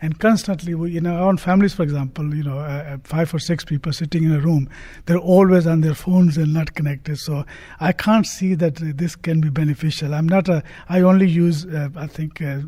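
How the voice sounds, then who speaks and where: Fairly quick and fairly even in intonation, a man talks at a fairly high pitch with a dark, mellow tone. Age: 60s. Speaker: university governor. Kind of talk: panel discussion. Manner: halting.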